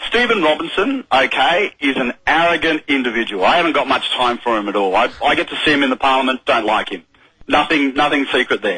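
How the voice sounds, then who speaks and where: The speaker has an Australian accent and lively intonation. The pace is fairly quick. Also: man, fairly high pitch for a man. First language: sign language. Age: young. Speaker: politician. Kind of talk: radio interview. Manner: animated.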